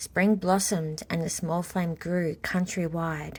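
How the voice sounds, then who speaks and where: A woman with an Australian accent speaks at a very slow pace in a fairly low, somewhat breathy voice. Her intonation is monotone and flat. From Australia, Gunditjmara country (western Victoria). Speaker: author. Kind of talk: reading aloud.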